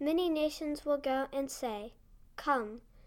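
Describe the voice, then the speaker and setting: Speech unfolds at a very slow pace with ordinary pitch variation on a very clean recording with a silent background. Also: woman. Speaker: scripture reader. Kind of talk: scripture reading.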